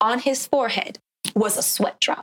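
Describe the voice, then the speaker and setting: A woman with a normal speaking voice, ordinary pitch variation and a moderate pace, in a dry, close sound with no echo. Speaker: broadcasting student. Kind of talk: casual interview.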